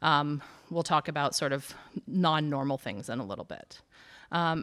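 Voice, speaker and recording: Moderate pace with ordinary pitch variation. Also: woman, very deep, low pitch for a woman. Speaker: urgent care medical staff. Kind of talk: health talk to seniors group. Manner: many fillers (um).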